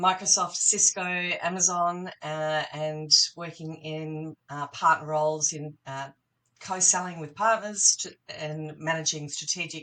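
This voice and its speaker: This woman speaks fairly slowly with an Australian accent, her very deep, low voice bright and sharp in tone, her intonation fairly even while her loudness swings widely. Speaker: partner management professional. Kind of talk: podcast interview.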